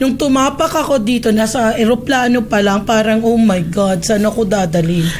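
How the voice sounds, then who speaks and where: A woman at fairly high pitch, moderate pace and hardly any pauses, with very even loudness, ordinary pitch variation, audible room echo and noticeable background noise. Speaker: immigration consultant. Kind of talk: casual chat.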